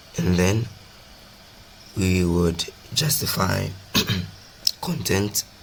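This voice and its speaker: Very slowly and with a very deep, low pitch, a man speaks over noticeable background noise. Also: long, frequent pauses. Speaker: programming tutor. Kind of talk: coding tutorial narration. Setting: poor microphone recording. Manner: casual, hesitant.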